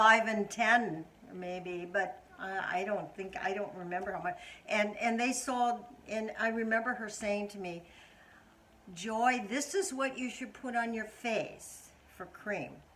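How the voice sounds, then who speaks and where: Against noticeable background noise, a woman talks at a fairly slow pace in a fairly high pitch. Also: ordinary pitch variation. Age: 90s. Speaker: mother of the channel owner. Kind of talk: casual interview answer about beauty and skincare. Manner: hesitant, slower speech, stumbling over words.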